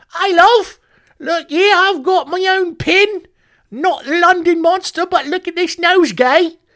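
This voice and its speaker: Extremely high in pitch, this put-on character voice comes in a Cockney accent. It moves at a fairly slow pace. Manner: mocking, playful.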